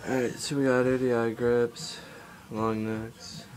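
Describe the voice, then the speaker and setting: A man's medium-pitched voice at a fairly slow pace, fairly even in intonation, with music in the background. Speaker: BMX rider. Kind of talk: casual talk to camera.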